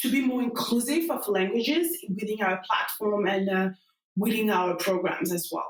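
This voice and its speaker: A woman speaks at a moderate pace with a French accent. Her pitch is medium and her intonation is lively. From Cameroon. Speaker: tech startup cofounder. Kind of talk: podcast interview. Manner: halting, many fillers.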